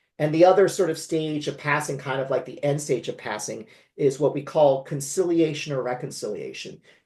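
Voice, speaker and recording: A man with a West Coast US accent speaks fairly quickly at a fairly high pitch, somewhat breathy, with fairly even intonation but big swings in loudness. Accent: General American, West Coast. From California. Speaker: memoir author. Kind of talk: interview conversation.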